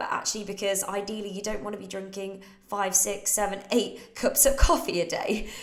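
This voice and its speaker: A fairly high-pitched woman's voice with a British accent at a moderate pace, amid noticeable background noise and audible room echo. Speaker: fitness coach. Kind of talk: Q&A livestream. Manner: casual.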